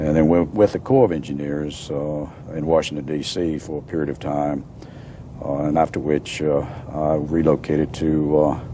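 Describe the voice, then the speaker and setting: A man with an American accent speaks at a moderate pace in a very deep, low pitch, his intonation monotone and flat, over noticeable background noise. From Virginia, US (Newport News / Roanoke). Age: 60s. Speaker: retired engineering society president. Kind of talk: interview. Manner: halting, many fillers.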